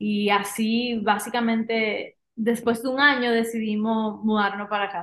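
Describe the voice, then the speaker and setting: A woman speaks at a fairly slow pace in a fairly high, flat, monotone voice. She barely pauses. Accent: Dominican. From Dominican Republic. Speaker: outdoor excursion organizer. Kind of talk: casual interview. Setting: in person in studio.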